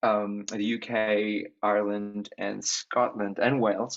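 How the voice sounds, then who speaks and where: Speaking with an Australian accent, a man has a medium pitch. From Australia, Sydney. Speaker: singer. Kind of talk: interview.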